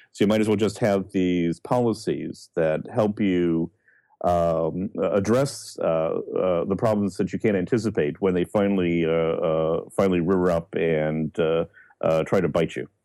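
A man speaks with a very deep, low pitch and a dark, mellow tone at very even loudness. The recording is very clean, with a silent background. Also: ordinary pitch variation, fairly slow pace. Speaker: psychology professor. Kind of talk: interview answers. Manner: hesitant, filler-heavy.

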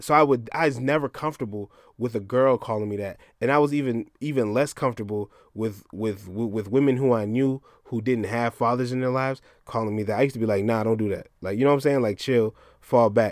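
On a very clean recording with a silent background, a man with an American accent speaks very fast at medium pitch with fairly even intonation. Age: 30s. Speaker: podcast co-host. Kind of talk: casual chat.

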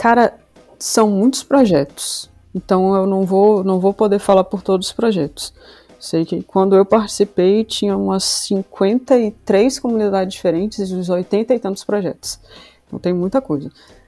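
Using a plain, everyday voice, a woman speaks at a fairly slow pace and medium pitch with ordinary pitch variation. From Brazil, Rio Grande do Sul and Salvador, Bahia. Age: 30s. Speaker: software developer intern. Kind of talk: casual podcast interview.

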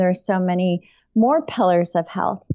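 A woman with a New York accent speaks at a fairly slow pace. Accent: American, New York. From upstate New York. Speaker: non-toxic living author and expert. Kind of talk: interview.

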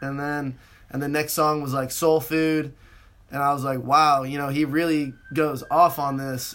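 With a West Coast American accent, a man speaks at a fairly slow pace in a flat monotone. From US West Coast. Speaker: student podcast co-host. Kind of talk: casual chat.

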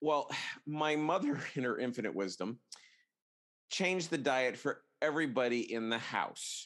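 At a fairly high pitch, a man speaks at a moderate pace with ordinary pitch variation. He leaves long, frequent pauses. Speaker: podcast host. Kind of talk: casual chat. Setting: video call.

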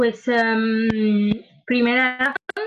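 Flat, monotone intonation runs through a somewhat breathy voice. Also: woman. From Italy, Lombardy (Milan). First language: Italian (speaking Spanish). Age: 20s. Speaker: engineering student and activist. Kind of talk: interview. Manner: halting, many fillers.

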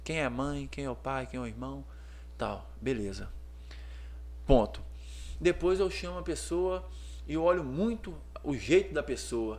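Speaking at a fairly slow pace with long, frequent pauses, a man's voice jumps through big swings in loudness amid audible room echo. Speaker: menswear store owner, entrepreneur. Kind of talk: casual interview chat.

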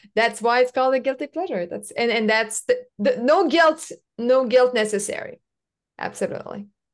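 A woman with a French accent speaks in a high pitch at a moderate pace with lively intonation. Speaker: podcast host. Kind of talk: interview conversation.

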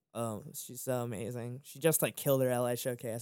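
A man with an American accent and an ordinary speaking voice, medium pitch, fairly quick pace, very clean recording, silent background. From Maryland, US. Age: 20s. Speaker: music producer and label founder. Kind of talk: casual interview chat.

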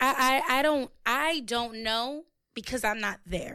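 A woman's raised, projected voice, high-pitched and bright, sharp in tone, drawling at a very slow pace with ordinary pitch variation. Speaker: podcast co-host and musician. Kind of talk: casual chat. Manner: drawls word endings.

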